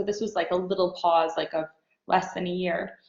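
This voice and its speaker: Delivered in an unremarkable speaking voice with an American accent, the intonation stays fairly even. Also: woman. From New York. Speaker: fashion designer. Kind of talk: interview.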